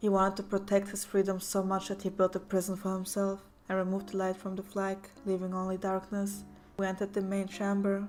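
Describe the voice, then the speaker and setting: A woman's medium-pitched voice, very fast in pace, with monotone, flat intonation. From Germany. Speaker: story narrator. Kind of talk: horror story reading.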